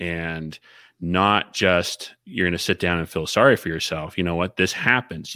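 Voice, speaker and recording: In a very clean recording with a silent background, a man speaks at a fairly slow pace in a very deep voice with a bright, sharp tone. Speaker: podcast co-host. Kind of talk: casual chat.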